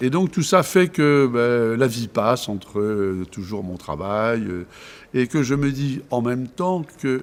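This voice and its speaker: A man at a very slow pace and medium pitch, with lively intonation. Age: 70s. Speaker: volunteer candidate, retiree. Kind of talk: interview testimony. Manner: halting, many hesitations.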